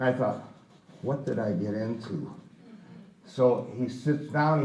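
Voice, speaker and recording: A man's voice with an American accent and ordinary pitch variation, amid noticeable background noise and audible room echo. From US Midwest, Chicago south side. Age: 80s+. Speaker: baseball raconteur. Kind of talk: storytelling talk.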